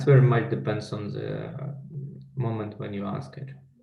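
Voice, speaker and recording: A man with a Russian accent speaks at medium pitch and a fairly slow pace. His pitch swings very widely, and the room echo is audible. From Belarus. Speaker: life coach and trainer. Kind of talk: interview.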